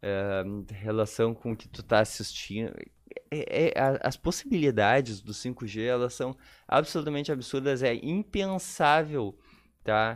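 A man with a plain, everyday voice speaks at a medium pitch and fairly slow pace with lively intonation on a very clean recording with a silent background. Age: 30s. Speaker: tech entrepreneur. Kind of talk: casual interview.

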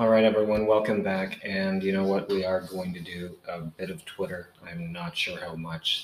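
A man with a very deep, low pitch and ordinary pitch variation talks with hardly any pauses over noticeable background noise. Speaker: podcast host and blogger. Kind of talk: solo podcast monologue; reading aloud his own written notice. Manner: casual, many fillers.

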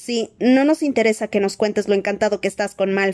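Ordinary pitch variation in reading aloud with a natural voice

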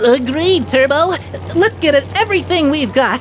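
Put-on character voice, female-sounding and high-pitched, with clear background noise. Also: moderate pace. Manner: loyal, eager.

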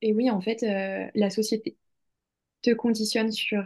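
Over a quiet background, a woman speaks at a fairly slow pace in a medium-pitched, dark, mellow voice with monotone, flat intonation. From France, Lyon. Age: 20s. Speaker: author and hypnotherapist. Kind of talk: interview. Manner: halting, many fillers.

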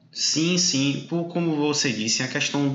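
Fairly slow, fairly high-pitched speech from a man, with audible room echo and noticeable background noise. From southern Bahia, Brazil. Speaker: podcast host. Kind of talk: interview.

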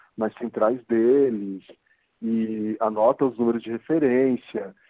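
A man with a São Paulo accent speaks very slowly in a medium pitch with fairly even intonation, the sound dry and close with no echo. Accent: Paulistano Brazilian Portuguese. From São Paulo, Brazil (Zona Norte). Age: 40s. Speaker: architect. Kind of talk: interview.

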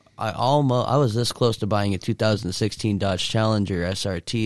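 A man with a fairly low pitch and fairly even intonation at a moderate pace, an unremarkable speaking voice on a very clean recording with a silent background. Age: 20s. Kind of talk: casual chat.

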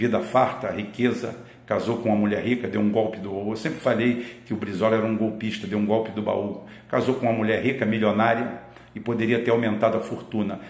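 Noticeable background noise runs through the clip, and the room gives off an audible echo. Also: man, medium pitch for a man. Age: old. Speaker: political commentator. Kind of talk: political commentary monologue. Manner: animated.

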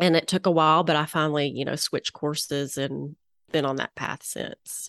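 In a Southern US accent, a woman talks at a fairly quick pace, the sound dry and close with no echo over a quiet background. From Little Rock, Arkansas, US South. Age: 40s. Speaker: interior designer and former physician. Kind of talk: casual interview.

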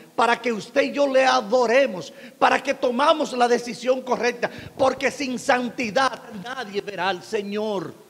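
Against noticeable background noise, a man speaks fairly slowly in an extremely high pitch. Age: 50s. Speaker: pastor. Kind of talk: sermon.

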